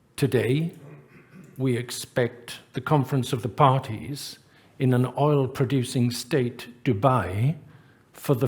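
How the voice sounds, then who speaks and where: With a British accent, the speaker talks at a very slow pace in a somewhat breathy voice with ordinary pitch variation, on a very clean recording with a silent background. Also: man. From Britain. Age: 60s. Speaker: professor of engineering and sustainability. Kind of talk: conference talk.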